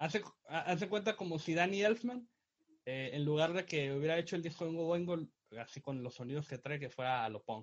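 A man with a normal speaking voice talks at a fairly quick pace. His pitch is fairly high and his intonation lively. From Mexico, Tijuana. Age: 20s. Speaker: graphic designer and podcast co-host. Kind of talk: casual chat.

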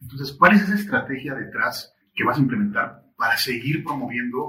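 With a bright, sharp tone and lively intonation, a man of medium pitch speaks at a moderate pace. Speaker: podcast host. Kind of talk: interview. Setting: studio.

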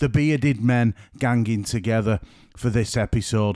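On a very clean recording with a silent background, a man speaks with a northern English accent. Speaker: podcast host and photographer. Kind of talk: solo podcast monologue; casual interview chat. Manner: voice sounds quiet.

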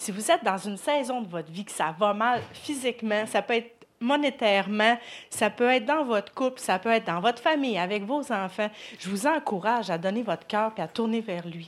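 Lively intonation runs through a normal speaking voice delivered at a moderate pace. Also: woman, fairly high pitch for a woman. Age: 30s. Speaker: churchgoer. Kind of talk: testimony. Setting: church.

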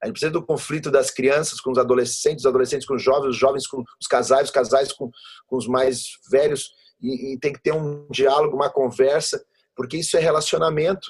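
Somewhat breathy speech with ordinary pitch variation. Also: man, fairly high pitch for a man, fairly quick pace. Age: 30s. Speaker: pastor. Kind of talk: interview conversation.

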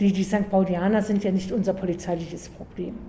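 Her intonation is monotone and flat as a woman talks fairly quickly at a medium pitch. Noticeable background noise runs underneath. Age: 60s. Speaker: community police officer. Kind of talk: interview. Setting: in-person interview on location.

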